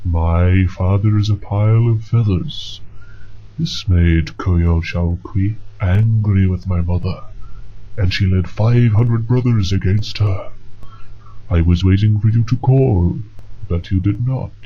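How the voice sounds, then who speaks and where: A man's put-on character voice at a fairly low pitch and fairly slow pace, long, frequent pauses and clear background noise. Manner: grandiose, booming.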